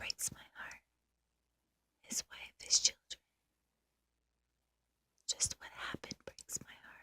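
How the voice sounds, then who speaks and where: Someone whispers at a very slow pace, with big swings in loudness. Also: woman. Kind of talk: whispered ASMR diary entry.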